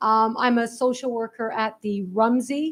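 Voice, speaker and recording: A woman with a Canadian accent. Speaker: social worker. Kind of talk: impromptu remarks. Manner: loud.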